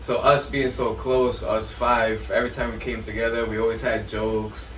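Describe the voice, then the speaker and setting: The man keeps a moderate pace while audible room echo and noticeable background noise fill the recording. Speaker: podcast co-host. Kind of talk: casual chat. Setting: living room recording. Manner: halting, repeats words.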